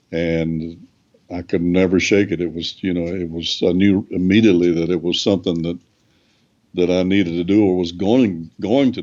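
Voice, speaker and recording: A man with a Southern US accent speaks at a moderate pace in a very deep, low voice, his tone dark and mellow and his intonation fairly even. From US South, North Carolina (Raleigh). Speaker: gospel singer. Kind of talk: interview.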